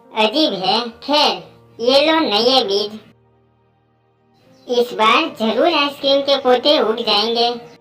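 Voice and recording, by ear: A cartoonish character voice, female-sounding and high-pitched, at a fairly slow pace with long, frequent pauses over faint background music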